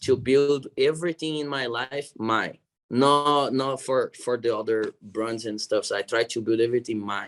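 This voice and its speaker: Speaking in a Brazilian Portuguese accent, a man has a medium pitch. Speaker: jiu-jitsu athlete and gym owner. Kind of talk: interview.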